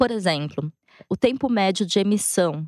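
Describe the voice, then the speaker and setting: A woman speaks in an ordinary speaking voice at a medium pitch, with lively intonation. The recording is very clean, with a silent background and a dry, close sound with no echo. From Brazil, interior of São Paulo state (Matão). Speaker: journalist. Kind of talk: interview.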